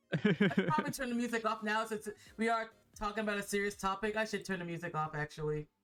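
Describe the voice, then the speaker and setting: A woman at a very fast pace, fairly high in pitch with lively intonation, music in the background. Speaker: streamer. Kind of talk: casual talk to stream. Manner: stuttering, repetitive.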